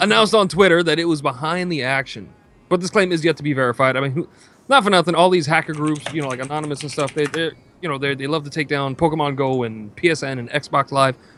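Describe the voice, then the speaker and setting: With a New York accent, a man speaks very fast in a bright, sharp tone, his fairly high pitch varying in an ordinary way. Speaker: gaming stream co-host. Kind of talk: casual chat. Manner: animated.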